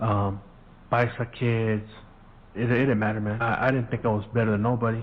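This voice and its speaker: A man speaks at a fairly quick pace and a medium pitch. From US, Mexican-American family. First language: Spanish. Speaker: podcast host. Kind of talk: casual storytelling monologue.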